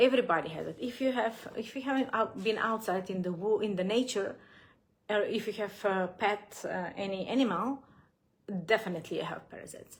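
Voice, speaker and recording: A somewhat breathy woman with a non-native accent talks at a fairly quick pace in a fairly high pitch. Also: ordinary pitch variation. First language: not English. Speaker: gut health coach. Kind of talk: live Q&A. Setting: livestream. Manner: halting, many fillers.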